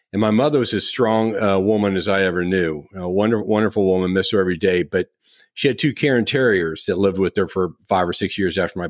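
A man with a plain, everyday voice speaks at a fairly low pitch with ordinary pitch variation. His pace is fairly quick, and the recording is very clean with a silent background. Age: 60s. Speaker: podcast host. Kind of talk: interview conversation; scripted introduction.

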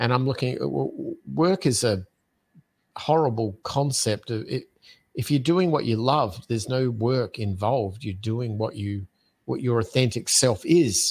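Recorded very cleanly against a silent background, a man with a medium pitch and somewhat breathy voice speaks fairly slowly with lively intonation. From Australia, Adelaide. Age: 50s. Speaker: podcast host and entrepreneur. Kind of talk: casual interview chat.

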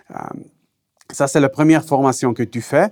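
A Swiss German accent on a very clean recording with a silent background. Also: man. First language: Swiss German (speaking French). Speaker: technical trainer. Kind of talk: interview. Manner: halting.

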